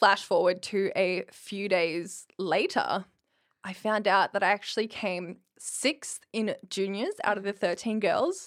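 At a very slow pace and with an Australian accent, the speaker's pitch varies in an ordinary way. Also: woman, medium pitch for a woman. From rural Queensland, Australia. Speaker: bodybuilding competitor. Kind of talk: casual interview.

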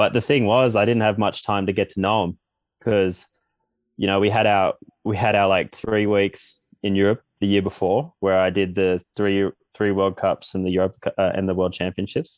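With an Australian accent, a man speaks at a fairly low pitch. His pace is moderate and his intonation fairly even. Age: 20s. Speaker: Olympic snowboarder. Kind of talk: casual interview.

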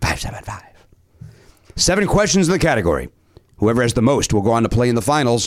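With an American accent, a man talks with vocal fry in his voice. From Chicago. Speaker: podcast game show host.

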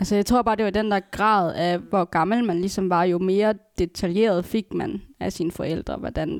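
Using fairly even intonation, a woman speaks at a medium pitch and a moderate pace. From Aalborg area, Denmark. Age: 20s. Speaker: adoptee. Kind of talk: casual chat.

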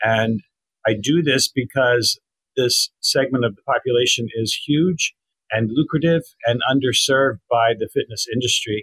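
A plain, everyday voice moves at a moderate pace with ordinary pitch variation. The sound is dry and close with no echo, and the loudness swings widely. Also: man, medium pitch for a man. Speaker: copywriter and former journalist. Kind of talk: interview.

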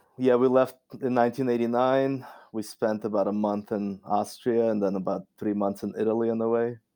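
Speaking fairly quickly, a man keeps a medium pitch with a monotone, flat intonation. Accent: Russian. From Russia. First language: Russian. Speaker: scientist. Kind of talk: casual interview. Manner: frequent fillers, halting.

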